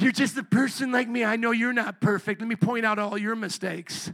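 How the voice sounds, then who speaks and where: A man speaks in a put-on character voice, high-pitched for a man, at a fairly quick pace with fairly even intonation. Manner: smug, pointing out faults.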